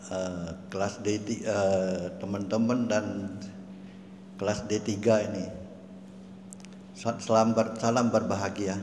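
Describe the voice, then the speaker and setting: A man's fairly low voice in monotone, flat intonation at a very slow pace, with long, frequent pauses and audible room echo. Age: 70s. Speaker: testimony giver. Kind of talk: testimony. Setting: stage with audience. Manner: halting.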